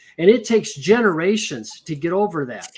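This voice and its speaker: The voice belongs to a man. He uses lively intonation. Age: 70s. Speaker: former political candidate. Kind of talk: political discussion. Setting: live stream.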